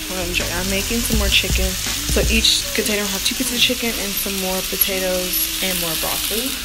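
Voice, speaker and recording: Loud background noise fills the clip. The speech moves at a fairly quick pace. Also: woman. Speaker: college student vlogger. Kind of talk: casual vlog chat. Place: kitchen. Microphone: phone near.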